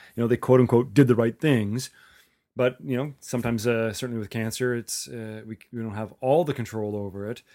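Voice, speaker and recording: In a very clean recording with a silent background, a man with a normal speaking voice and medium pitch talks at a fairly quick pace, with fairly even intonation and big swings in loudness. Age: 40s. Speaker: podcast host. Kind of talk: interview.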